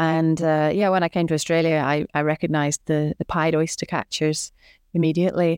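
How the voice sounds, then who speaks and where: A woman's very deep, low pitch in a Northern Irish accent, monotone and flat, at a fairly quick pace with very even loudness, dry and close with no echo in a very clean recording with a silent background. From Northern Ireland, Belfast. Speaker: artist and children's author. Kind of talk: casual storytelling.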